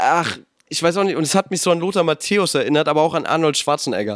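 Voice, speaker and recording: The background is silent and the recording very clean. A man talks at a high pitch. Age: young. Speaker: podcast co-host. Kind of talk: casual chat.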